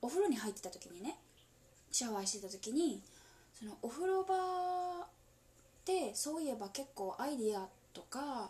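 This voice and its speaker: Whispering at a moderate pace, a woman leaves long, frequent pauses and her loudness swings widely. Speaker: solo podcaster. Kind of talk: whispered casual monologue. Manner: halting.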